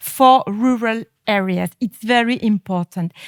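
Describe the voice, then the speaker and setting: A woman with a French accent speaks at a fairly high pitch and fairly slow pace, with ordinary pitch variation. The recording is very clean, with a silent background and a dry, close sound with no echo. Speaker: politician. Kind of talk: panel statement. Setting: stage with audience. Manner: halting.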